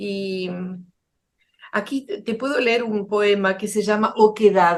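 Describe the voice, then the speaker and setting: A woman speaks at a medium pitch and a very slow pace, her intonation fairly even. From Argentina. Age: 80s+. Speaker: poet and children's author. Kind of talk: interview.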